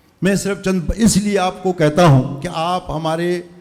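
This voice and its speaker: Using ordinary pitch variation, a man talks in a high voice. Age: 60s. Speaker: community elder. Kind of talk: farewell speech. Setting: school event with audience.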